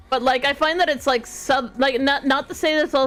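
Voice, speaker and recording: A woman with a strong Canadian accent speaks at a high pitch. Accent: thick Canadian. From small-town Canada. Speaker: streamer. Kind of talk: casual chat.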